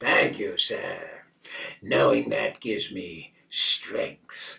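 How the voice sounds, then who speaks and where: Speaking very slowly, a man uses a put-on character voice. His pitch sits extremely high. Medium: read story. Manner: blank, flat, emotionless.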